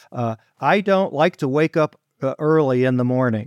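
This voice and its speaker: A man with an American accent speaks at a fairly slow pace and medium pitch, with an ordinary speaking voice. The recording is very clean with a silent background, dry and close with no echo. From Detroit, Michigan. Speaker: financial planner. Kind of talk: interview.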